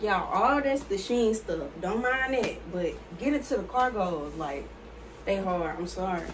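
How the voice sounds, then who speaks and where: A woman talks at a fairly slow pace over noticeable background noise. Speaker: fashion haul creator. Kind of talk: casual vlog chat. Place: home room. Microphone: phone near.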